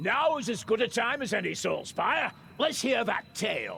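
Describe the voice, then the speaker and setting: Putting on a gruff character voice, a man speaks at an extremely high pitch and a moderate pace. Clear background noise can be heard. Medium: video game. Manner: gruff, talkative.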